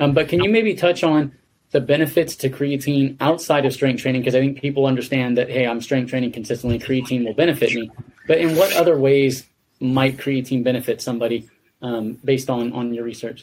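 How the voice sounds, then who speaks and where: Using a plain, everyday voice, a man talks at a fairly quick pace in a medium pitch with ordinary pitch variation. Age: 40s. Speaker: podcast host. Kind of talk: interview.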